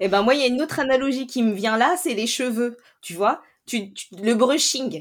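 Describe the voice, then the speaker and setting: A woman speaks at a high pitch and a moderate pace. Her loudness swings widely. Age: 30s. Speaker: teacher trainer and coach. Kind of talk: interview conversation.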